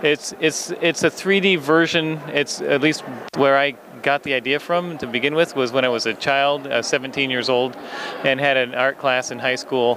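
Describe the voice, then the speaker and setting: This man's fairly high voice moves at a fairly slow pace with fairly even intonation, and noticeable background noise sits behind him. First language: English (speaking German). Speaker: toy designer. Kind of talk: interview.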